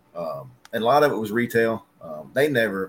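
A man speaks in a Southern US accent with ordinary pitch variation. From West Tennessee, near Jackson. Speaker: paintless dent repair technician. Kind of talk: casual chat.

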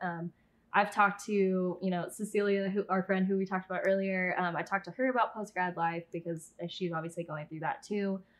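A woman talks with a West Coast accent at medium pitch. She moves at a fairly quick pace over a quiet background. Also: hardly any pauses. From Southern California. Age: 20s. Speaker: YouTuber and former pageant titleholder. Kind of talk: casual interview chat.

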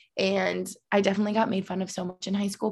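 Somewhat breathy speech with an American accent rushes by at a very fast pace. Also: woman. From Albany, New York. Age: 20s. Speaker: hockey player's girlfriend and YouTuber. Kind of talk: casual interview chat.

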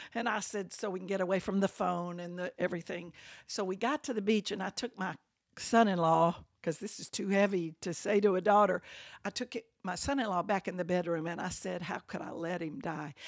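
A woman's fairly quick speech in an Alabama accent, medium in pitch with ordinary pitch variation, dry and close with no echo, on a very clean recording with a silent background. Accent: US Southern (Alabama). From Birmingham, Alabama. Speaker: church member. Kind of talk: interview.

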